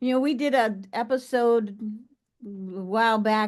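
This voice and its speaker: A woman talks at a fairly slow pace. Her pitch sits fairly high. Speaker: podcast host. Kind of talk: interview podcast host.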